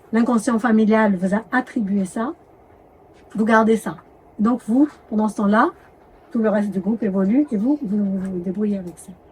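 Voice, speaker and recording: Noticeable background noise can be heard. The pace is moderate and the pitch variation ordinary. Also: woman. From Madagascar. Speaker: doctor and medical anthropologist. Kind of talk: interview. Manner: hesitant, with self-corrections.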